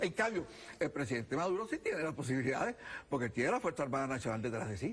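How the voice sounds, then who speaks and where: A man is speaking. His pitch swings very widely. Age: 70s. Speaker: political candidate. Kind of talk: TV interview. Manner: animated.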